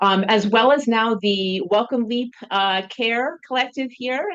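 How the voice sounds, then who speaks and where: A woman with a normal speaking voice talks at a moderate pace, her pitch fairly high with ordinary variation. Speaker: professor and researcher. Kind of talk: lecture.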